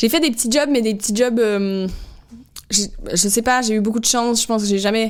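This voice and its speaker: A woman with a slight Québécois accent talks fairly quickly in a fairly high voice with fairly even intonation, broken up by long, frequent pauses. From Quebec, Canada. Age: 30s. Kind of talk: podcast interview answer. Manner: casual, hesitant.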